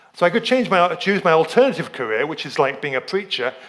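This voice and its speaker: A man speaks at a fairly quick pace with very wide pitch swings and a high pitch. Noticeable background noise runs underneath. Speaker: lay preacher and dentist. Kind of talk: sermon. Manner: halting.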